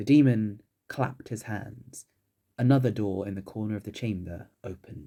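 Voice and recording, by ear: A natural voice reading aloud, ordinary pitch variation, and a quiet background behind it.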